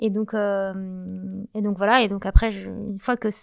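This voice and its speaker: A woman talks with a fairly high pitch in a monotone, flat way. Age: 40s. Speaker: real estate entrepreneur. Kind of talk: interview.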